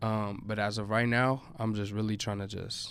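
In a room with audible echo, a man talks at a moderate pace with a fairly low pitch and ordinary pitch variation. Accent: American. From Chicago. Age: 20s. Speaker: reggaeton artist. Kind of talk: casual chat.

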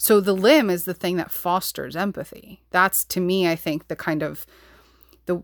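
Speaking with an American accent, a woman keeps a fairly low pitch and fairly even intonation at a moderate pace. The recording is very clean, with a silent background. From New York. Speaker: podcast host and psychotherapist. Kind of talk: solo podcast monologue. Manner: passionate, intense.

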